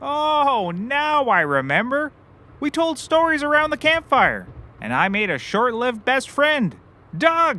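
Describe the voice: A man does a put-on character voice at an extremely high pitch with a bright, sharp tone. He speaks at a slow pace with very wide pitch swings.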